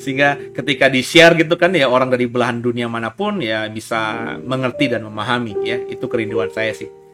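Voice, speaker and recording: Over music in the background, a man at a medium pitch talks at a very fast pace with lively intonation and hardly any pauses. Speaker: pastor and live Bible talk host. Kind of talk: casual Bible teaching livestream, closing appeal.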